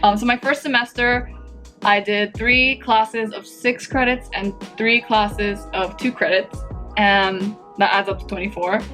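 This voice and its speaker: A woman with an American accent, medium in pitch, at a fairly slow pace with fairly even intonation, music in the background. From Japanese-American. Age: 20s. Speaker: university student. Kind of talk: casual talk to camera.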